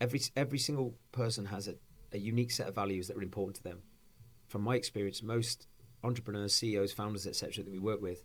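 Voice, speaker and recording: A very fast man at a fairly low pitch, with fairly even intonation. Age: 40s. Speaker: fitness coach, founder of a coaching programme. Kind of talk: podcast interview.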